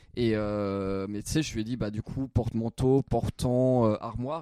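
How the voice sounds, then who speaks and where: The sound is dry and close with no echo as a man speaks at medium pitch in a dark, mellow tone. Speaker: comedy podcast co-host, amateur youtuber. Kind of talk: casual chat. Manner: halting.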